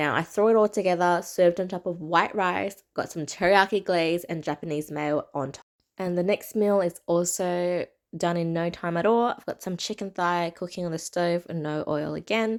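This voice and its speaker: Speaking with an Australian accent, a woman with a fairly low pitch keeps a moderate pace and fairly even intonation on a very clean recording with a silent background. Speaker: cooking vlogger. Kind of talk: voiceover cooking tutorial. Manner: casual.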